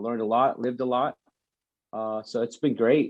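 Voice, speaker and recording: The speaker has a Texan accent and keeps a moderate pace. The intonation stays fairly even. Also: man. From Texas. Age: 30s. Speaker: army sniper. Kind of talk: casual chat.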